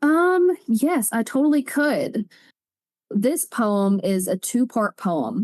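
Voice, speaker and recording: A woman with a Southern US accent speaks at a high pitch and a very slow pace, with very wide pitch swings. Her loudness stays very even against a quiet background in a dry, close sound with no echo. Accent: Southern American. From Alabama, USA. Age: 20s. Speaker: spoken word poet. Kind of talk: interview answer. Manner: forceful.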